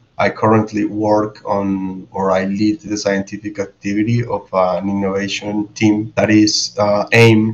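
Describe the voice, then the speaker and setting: At a fairly slow pace, a man with a Spanish accent speaks at a fairly low pitch. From Colombia. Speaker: biologist and behavioral scientist. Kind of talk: roundtable discussion.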